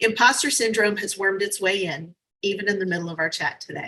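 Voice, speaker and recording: A woman talks at a very fast pace in an American accent, her pitch medium. Her tone is bright and sharp. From US South, New Orleans. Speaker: motivational speaker. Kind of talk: virtual summit talk. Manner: animated.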